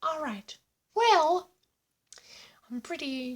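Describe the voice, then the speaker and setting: Put-on character voice at a high pitch. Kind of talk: casual reaction commentary. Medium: role play. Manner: upbeat, exaggerated.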